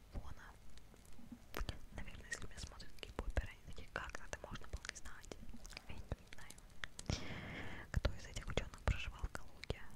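A woman whispers at a moderate pace. She leaves long, frequent pauses. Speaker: ASMR creator. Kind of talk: ASMR quiz chat to camera. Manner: whispered. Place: home room. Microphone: studio mic.

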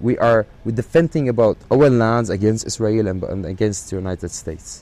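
A man speaks with an Arabic accent at a moderate pace. His tone is dark and mellow, his pitch fairly low, with ordinary pitch variation. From Syria, Palestinian background. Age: 30s. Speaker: actor. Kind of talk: interview. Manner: halting.

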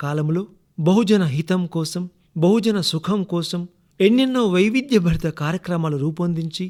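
Over a very clean recording with a silent background, a man talks in a high pitch with ordinary pitch variation. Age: 60s. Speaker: retired radio announcer. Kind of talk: recorded anniversary message. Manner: formal, poetic.

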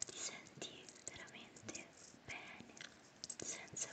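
A woman whispers very slowly while noticeable background noise carries on behind her. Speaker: ASMR creator. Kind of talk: guided meditation. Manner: whispered; slow, soft-spoken.

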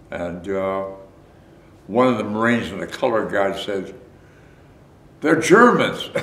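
A man with a fairly low pitch talks at a fairly slow pace with ordinary pitch variation, and audible room echo surrounds him. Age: 80s+. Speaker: war veteran. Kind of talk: interview answer. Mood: reflective, recounting wartime memories. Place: home room.

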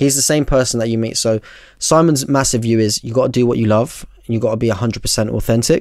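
A man with a London accent speaks at a fairly quick pace and medium pitch, the sound dry with no echo and the background quiet. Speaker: barber and content creator; content creator. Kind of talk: casual chat. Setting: studio. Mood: relaxed, reflective. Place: studio. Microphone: studio mic.

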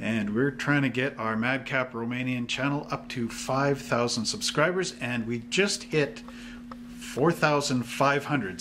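A man speaking at a very slow pace over noticeable background noise. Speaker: hobby shop channel host. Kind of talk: casual vlog chat. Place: shop.

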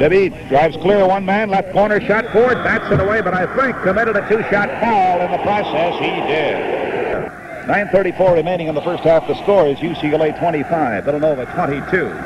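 Speaking at a fairly quick pace, a man uses a high pitch with ordinary pitch variation. Noticeable background noise can be heard. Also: hardly any pauses. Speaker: radio sports announcer. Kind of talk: live basketball radio play-by-play. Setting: vintage radio broadcast from a stadium. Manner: quick, clipped game-action calling.

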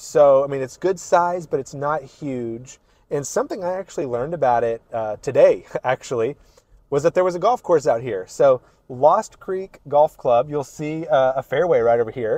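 A man speaks at a moderate pace in a dark, mellow tone with ordinary pitch variation. The sound is dry with no echo, over a quiet background. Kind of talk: neighborhood tour commentary. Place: car. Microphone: lapel.

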